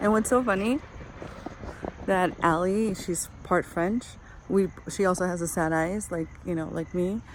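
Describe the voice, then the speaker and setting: Amid noticeable background noise, a woman at medium pitch speaks at a fairly slow pace with ordinary pitch variation and long, frequent pauses. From Portugal. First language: Portuguese. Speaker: vlogger. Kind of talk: casual chat. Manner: hesitant, many fillers.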